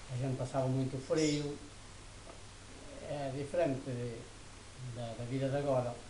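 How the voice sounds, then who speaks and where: With noticeable background noise and audible room echo, a man talks at a medium pitch and moderate pace. His intonation is monotone and flat, broken by long, frequent pauses. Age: 70s. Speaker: elderly interviewee. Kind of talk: interview. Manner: hesitant.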